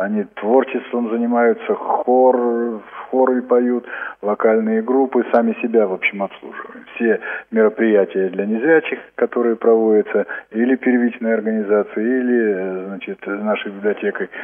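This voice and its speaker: Noticeable background noise sits behind a man speaking fairly slowly with fairly even intonation. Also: medium pitch for a man. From Altai Krai, Russia. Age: 50s. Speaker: library director. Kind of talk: interview.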